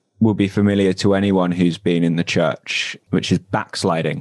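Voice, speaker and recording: This man talks with a southern English accent. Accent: southern English (London area). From Southeast London, England. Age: 20s. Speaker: former church member, podcaster. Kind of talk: interview, personal story. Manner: hesitant, many fillers.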